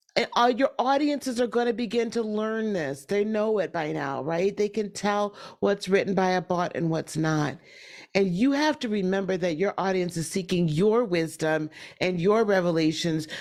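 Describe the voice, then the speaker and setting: An unremarkable speaking voice from a woman at medium pitch, with lively intonation, a moderate pace and a very clean recording with a silent background. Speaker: summit speaker on AI for business. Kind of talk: presentation.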